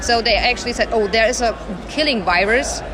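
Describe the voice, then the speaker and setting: Noticeable background noise and audible room echo surround a woman speaking in a fairly high pitch. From Germany. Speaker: journalist and army veteran. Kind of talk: interview.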